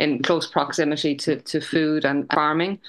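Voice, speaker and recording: A woman with an Irish accent speaks at a moderate pace with a very deep, low pitch and a bright, sharp tone. The background is quiet. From Ireland, midlands (Westmeath). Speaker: chef and food business co-founder. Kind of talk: interview conversation.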